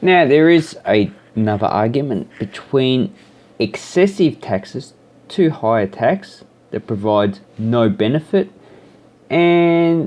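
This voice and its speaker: Very wide pitch swings at a very slow pace, with an Australian accent. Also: man, fairly high pitch for a man. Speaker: YouTuber. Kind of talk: casual vlog monologue. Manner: rambling, with hesitations.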